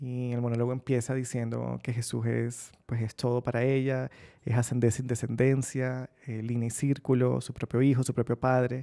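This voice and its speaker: Against a quiet background, a man with a dark, mellow tone speaks at a moderate pace in a monotone, flat voice with hardly any pauses. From Colombian Caribbean coast, Barranquilla; Colombian Caribbean coast. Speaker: novelist; interviewee. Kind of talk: interview answers. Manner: reflective, with hesitations. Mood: relaxed, smiling, reflective. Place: studio.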